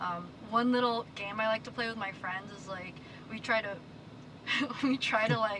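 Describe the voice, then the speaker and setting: Against noticeable background noise, a woman with a fairly high pitch speaks at a moderate pace with fairly even intonation, long, frequent pauses and big swings in loudness. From Philippines, raised in US from age 7. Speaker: passerby. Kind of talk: casual chat.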